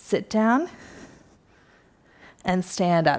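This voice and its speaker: In a very clean recording with a silent background, a woman speaks with lively intonation. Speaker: fitness instructor. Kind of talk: workout instruction. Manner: casual, encouraging.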